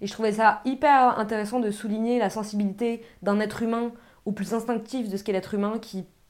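A woman speaks in a normal speaking voice at a fairly high pitch. Her pace is fairly quick and her intonation fairly even. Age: 20s. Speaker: film podcast co-host. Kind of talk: casual chat.

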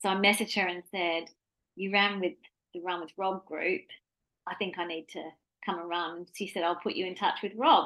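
Long, frequent pauses break up a moderate pace, with a bright, sharp tone and fairly even intonation. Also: woman, medium pitch for a woman. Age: 40s. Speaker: running podcast co-host. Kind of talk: casual chat.

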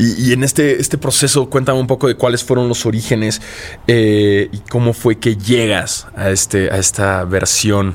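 Noticeable background noise surrounds a man of medium pitch. He talks at a fairly slow pace with ordinary pitch variation and very even loudness. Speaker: podcast host. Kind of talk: casual interview.

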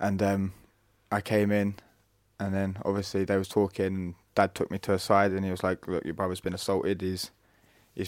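A man's fairly low voice in a Norfolk accent, fairly quick and in a monotone, flat intonation, on a very clean recording with a silent background. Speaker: brother and carer of brain injury survivor. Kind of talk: interview.

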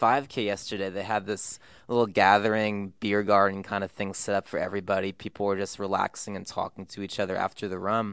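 Against a quiet background, the speaker goes at a very fast pace with fairly even intonation. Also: man. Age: 20s. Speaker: music podcast host. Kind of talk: casual interview. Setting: studio, office room high up in a building.

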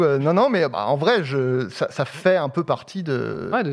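Noticeable background noise surrounds a man speaking at a fairly slow pace. His fairly high voice carries lively intonation. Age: 30s. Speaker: comedian and director. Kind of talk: casual chat.

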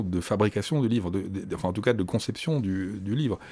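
A man speaks with a dark, mellow tone at a fairly low pitch, with ordinary pitch variation. The recording is very clean, its background silent. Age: 60s. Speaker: comics festival director and essayist. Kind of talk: interview. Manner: halting.

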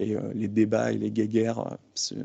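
A man with a fairly low pitch and dark, mellow tone speaks in a monotone, flat way, the sound dry and close with no echo over a quiet background. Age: 30s. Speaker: strength and conditioning coach. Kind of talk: casual interview.

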